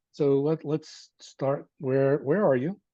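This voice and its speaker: This is a man with a fairly high pitch. His tone is dark and mellow. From New Jersey. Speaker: university lecturer. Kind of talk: online lecture. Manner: animated.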